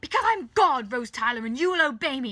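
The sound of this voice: Using a put-on character voice, a woman talks at a fairly quick pace with a high pitch, big pitch swings and a bright, sharp tone.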